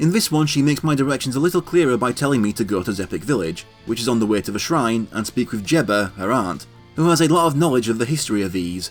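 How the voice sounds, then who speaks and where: Over background music, a man talks at a very fast pace with lively intonation. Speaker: video game let's play narrator. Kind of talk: gameplay walkthrough narration.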